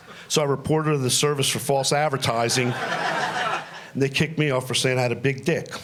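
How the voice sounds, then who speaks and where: A man at a fairly quick pace with hardly any pauses and very even loudness, amid audible room echo and noticeable background noise. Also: fairly high pitch for a man, fairly even intonation. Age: 60s. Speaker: comedian. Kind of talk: stand-up. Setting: stage with audience.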